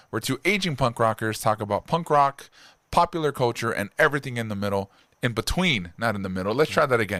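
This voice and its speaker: A man's bright, sharp voice with lively intonation at a fairly quick pace, in a very clean recording with a silent background. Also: dry, close sound with no echo. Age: middle-aged. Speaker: podcast co-host. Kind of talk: casual chat.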